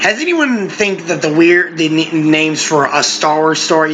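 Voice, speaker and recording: A man talks at a moderate pace. Noticeable background noise runs beneath his voice. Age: 20s. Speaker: podcast co-host. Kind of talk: casual chat.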